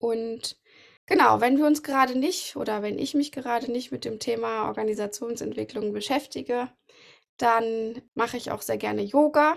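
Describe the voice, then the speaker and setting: A woman's normal speaking voice, fairly high in pitch with ordinary variation, at a moderate pace on a very clean recording with a silent background. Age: 30s. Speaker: podcast host, organizational development coach. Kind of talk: casual chat.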